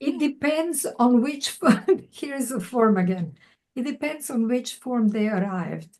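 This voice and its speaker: Using lively intonation, a woman with a high pitch speaks at a fairly slow pace. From Croatia. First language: Croatian. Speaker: poet. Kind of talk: Q&A conversation. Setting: video call.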